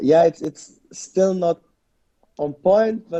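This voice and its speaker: Speaking with a German accent, a man has a dark, mellow tone and a fairly slow pace. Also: dry, close sound with no echo. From Germany, Lebanese family. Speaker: mixed martial arts fighter. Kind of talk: interview. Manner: halting, many repetitions.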